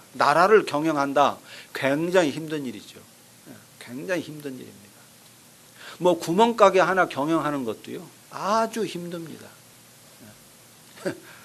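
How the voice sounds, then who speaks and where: There is noticeable background noise as a man talks at a fairly high pitch with ordinary pitch variation. He leaves long, frequent pauses, and his loudness swings widely. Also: moderate pace. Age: 60s. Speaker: pastor. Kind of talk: sermon.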